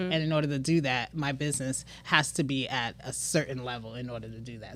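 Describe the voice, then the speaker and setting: A woman speaks with a Trinidadian accent at a fairly quick pace. Her tone is animated and her intonation lively. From Brooklyn, New York, Trinidadian household. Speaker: business owner. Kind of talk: casual chat.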